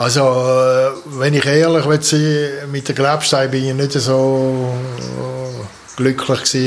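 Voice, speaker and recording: A man with a strong Swiss German accent talks at a very slow pace in a medium pitch, his intonation monotone and flat. Noticeable background noise sits behind him. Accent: broad Swiss German dialect. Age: 70s. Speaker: artist and sculptor, retired. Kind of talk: interview about life story.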